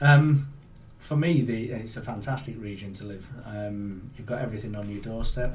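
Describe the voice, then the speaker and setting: A man with a Yorkshire accent, medium pitch and moderate pace, plus audible room echo. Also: ordinary pitch variation, big swings in loudness. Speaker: automotive industry executive. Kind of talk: interview.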